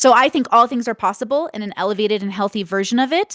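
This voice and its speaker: In a plain, everyday voice, a woman with fairly high pitch and ordinary pitch variation talks at a fairly quick pace, on a very clean recording with a silent background and a dry, close sound with no echo. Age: 30s. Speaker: content creator, debate guest. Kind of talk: panel debate interview.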